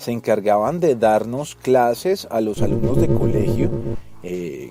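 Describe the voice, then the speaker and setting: Music plays behind a man with a Colombian accent and a fairly low pitch. He talks at a fairly slow pace with lively intonation. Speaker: radio announcer. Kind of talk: casual podcast storytelling.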